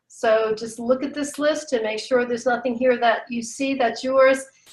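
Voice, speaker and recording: Delivered at a moderate pace, the speech keeps a fairly even intonation. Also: woman. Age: 60s. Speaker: patient advocate and writer. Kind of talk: webinar presentation.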